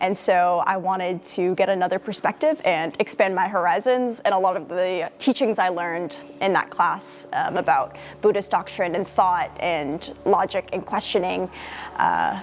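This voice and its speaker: Music plays in the background as a woman speaks with an American accent. Her pitch is medium and her pace moderate. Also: ordinary pitch variation. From US Northeast, near Boston. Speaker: university student. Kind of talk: interview testimony.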